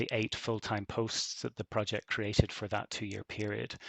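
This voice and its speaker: Against a quiet background, a man with a Belfast accent talks at a fairly quick pace in a dry, close sound with no echo. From Northern Ireland, Belfast. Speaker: university researcher. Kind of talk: conference closing talk. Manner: hesitant, many fillers.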